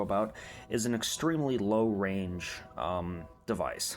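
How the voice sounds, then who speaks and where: A man with an American accent, with audible room echo. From United States. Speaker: radiation hobbyist youtuber. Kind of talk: casual tutorial. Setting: at home. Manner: hesitant, many fillers.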